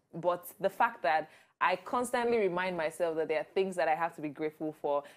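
With an energetic tone, a woman of fairly low pitch speaks very fast, her pitch varying in an ordinary way. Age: 20s. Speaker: TV presenter. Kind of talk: interview answer. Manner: vibrant, energetic. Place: studio. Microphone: lapel.

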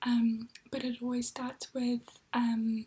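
Whispering softly, a woman speaks in a calm tone at a very slow pace. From New Zealand. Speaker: ASMR creator. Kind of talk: ASMR language lesson. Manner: soft-spoken, whispery, calm.

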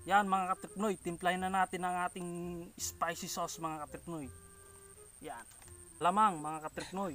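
Faint music plays in the background as a man with a high pitch talks at a moderate pace with fairly even intonation, in a dry sound with no echo. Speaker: food vlogger. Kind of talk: casual vlog chat. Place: farm.

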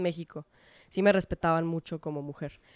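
A woman's voice with ordinary pitch variation comes through over a quiet background. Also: dry sound with no echo. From Mexico, mostly Monterrey; Mexico. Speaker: professional footballer; guest. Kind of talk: casual interview chat. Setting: in person. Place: home room. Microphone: handheld.

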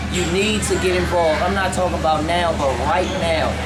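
Loud noise fills the background. A man speaks through it at a moderate pace. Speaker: radio personality hosting a store launch. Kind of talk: promotional hype talk. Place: shop. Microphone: camera far.

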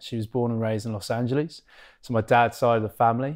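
An English accent marks this man's speech. His intonation is monotone and flat, over a quiet background. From England, Cambridge; England. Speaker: professional rugby player; podcast guest. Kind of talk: podcast interview. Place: studio. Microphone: lapel.

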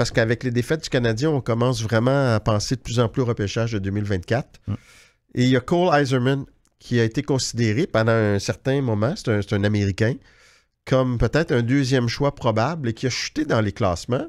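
Here a man talks at a fairly quick pace with a medium pitch and ordinary pitch variation. His loudness stays very even, and the background is quiet. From Quebec. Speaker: hockey journalist, podcast host. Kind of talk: casual chat. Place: studio. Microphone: studio mic.

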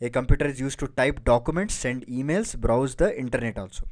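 Recorded very cleanly against a silent background, a man speaks at a very fast pace with a medium pitch. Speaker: online exam-prep educator. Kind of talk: lecture.

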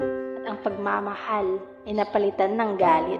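Music plays in the background as a woman speaks at a very slow pace and medium pitch with ordinary pitch variation. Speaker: spoken word poet. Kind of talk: spoken word poetry. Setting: over soft piano music. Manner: emotional, reflective.

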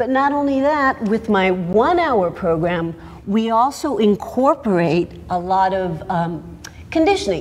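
Her pitch swings very widely. The woman talks at a fairly slow pace. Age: 50s. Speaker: fitness instructor. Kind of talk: sales pitch. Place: studio.

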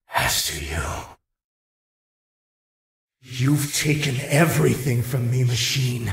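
A man uses a put-on character voice at medium pitch, with big pitch swings and vocal fry. He speaks at a slow pace.

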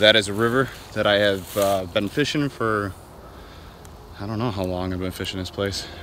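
A plain, everyday voice, a man of fairly low pitch at a moderate pace with fairly even intonation, a dry sound with no echo and light background noise. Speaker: fishing vlogger. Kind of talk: casual vlog chat. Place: waterside. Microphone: phone near.

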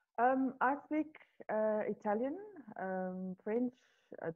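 A woman's medium-pitched voice at a fairly slow pace, with ordinary pitch variation

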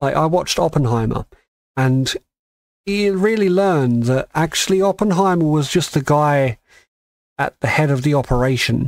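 The speaker has an English accent and a moderate pace, with long, frequent pauses. Lively intonation sits over very even loudness, in a dry, close sound with no echo. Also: man, fairly high pitch for a man. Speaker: podcast co-host. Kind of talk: casual chat.

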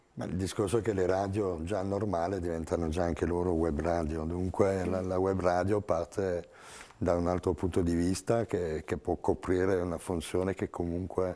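A man speaks in a very deep, low pitch with a dark, mellow tone. His moderate-paced delivery is monotone and flat. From France. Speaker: radio music director; radio guest. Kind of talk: TV panel discussion. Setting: TV studio. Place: studio. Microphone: lapel.

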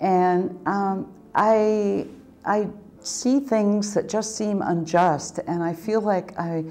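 With an American accent, a woman speaks with ordinary pitch variation. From rural Oregon. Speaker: community foundation president. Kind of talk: interview testimony. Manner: hesitant, with fillers. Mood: warm, reflective. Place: home room.

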